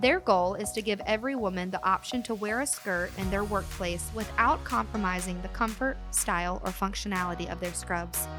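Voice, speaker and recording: A woman at a moderate pace with hardly any pauses, music in the background. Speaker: podcast host. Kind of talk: podcast intro and sponsor read.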